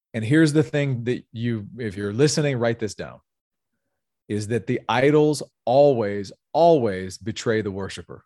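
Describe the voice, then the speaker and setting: In a Southern US accent, a man with a dark, mellow tone and medium pitch talks at a moderate pace with ordinary pitch variation, the sound dry and close with no echo against a quiet background. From US South, North Louisiana. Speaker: sales executive and pastor. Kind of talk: interview conversation.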